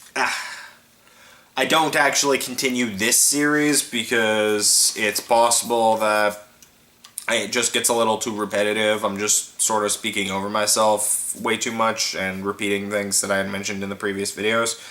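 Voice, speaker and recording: A man speaks at an average rate. Clear background noise runs beneath him. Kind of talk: casual talk to camera.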